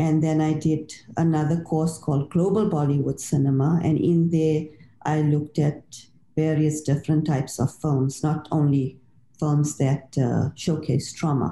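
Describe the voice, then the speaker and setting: The voice is somewhat breathy and dark, mellow in tone, with very even loudness and flat, monotone intonation at a moderate pace. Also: woman, very deep, low pitch for a woman. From South Africa. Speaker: author and literature lecturer. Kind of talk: interview.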